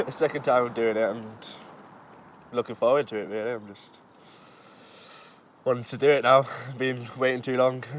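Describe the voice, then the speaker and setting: A man with a Yorkshire accent talks at a moderate pace and medium pitch with fairly even intonation. His loudness swings widely, and he takes long, frequent pauses. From West Yorkshire, England. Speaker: race competitor. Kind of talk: documentary interview.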